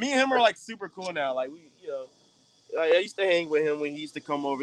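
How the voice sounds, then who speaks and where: The sound is close and dry, with no echo at all. A man talks with lively intonation. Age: 20s. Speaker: pro wrestler. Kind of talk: casual interview chat. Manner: casual, slangy, animated.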